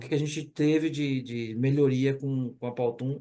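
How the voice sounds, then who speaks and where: A man speaks with a strong Pernambuco accent. His voice is fairly high, and his intonation fairly even. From Brazil, Pernambuco. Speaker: corporate training manager. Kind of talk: webinar case study talk. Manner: casual, informal.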